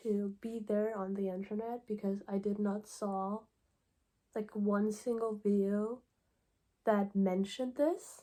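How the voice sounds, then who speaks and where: A woman's dark, mellow voice at medium pitch with a non-native accent, in a monotone, flat intonation, at a fairly slow pace with long, frequent pauses. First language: not English. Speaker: YouTuber. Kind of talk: casual opinion talk video. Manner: halting, many fillers.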